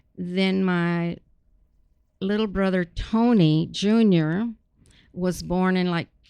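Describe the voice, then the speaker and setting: With a South Texas accent, a woman speaks at a medium pitch in a dark, mellow tone with fairly even intonation. Her delivery is very slow, with long, frequent pauses. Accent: South Texas Mexican-American English. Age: 70s. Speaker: retired educator. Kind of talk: casual interview.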